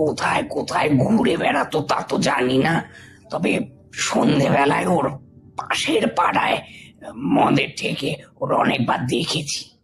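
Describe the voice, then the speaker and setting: Over background music, a man uses a raspy, put-on character voice with lively intonation, a very slow pace and very even loudness. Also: fairly high pitch for a man. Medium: audio drama.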